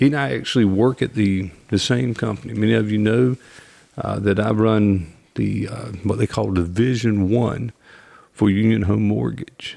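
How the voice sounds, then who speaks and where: A man's fairly low, dark, mellow voice with a North Carolina accent, ordinary pitch variation and a moderate pace. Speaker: podcast host, mortgage division leader. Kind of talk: interview podcast.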